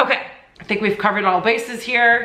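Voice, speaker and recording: Over noticeable background noise and audible room echo, a woman talks in an animated tone. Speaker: fashion YouTuber. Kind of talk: casual vlog tutorial.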